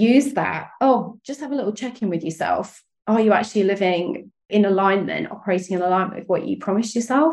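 A woman with a British accent talks at a fairly quick pace in a medium pitch, with hardly any pauses. Her intonation is lively, her tone animated and enthusiastic, and vocal fry shows up. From UK. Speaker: sales and strategy coach. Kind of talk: interview chat. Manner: animated, enthusiastic.

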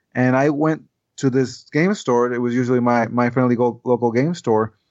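In a quiet background, a man with a Spanish accent speaks at a moderate pace with ordinary pitch variation. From Puerto Rico. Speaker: board game designer. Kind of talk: casual chat. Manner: halting.

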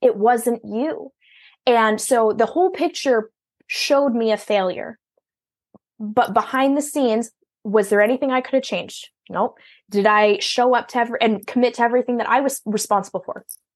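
A woman speaks in a strong Minnesotan accent at a fairly high pitch. Her pace is moderate and the background is quiet. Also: ordinary pitch variation. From Minnesota, US Midwest. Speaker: virtual business owner serving entrepreneurs. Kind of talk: casual interview conversation.

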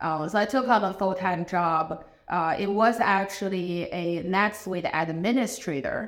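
Speaking at a fairly slow pace with hardly any pauses, a woman uses a medium pitch and ordinary pitch variation over noticeable background noise. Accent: Chinese. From China. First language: Chinese. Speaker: business owner, ERP consultant. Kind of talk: casual interview conversation.

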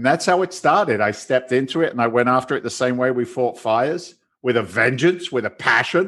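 Against a quiet background, a man at medium pitch speaks fairly quickly in an ordinary speaking voice. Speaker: real estate investor. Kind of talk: casual interview.

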